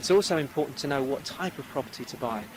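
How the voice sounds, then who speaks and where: A man with lively intonation at a very fast pace, over noticeable background noise. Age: 40s. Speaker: property investor and speaker. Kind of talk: interview. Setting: outdoors.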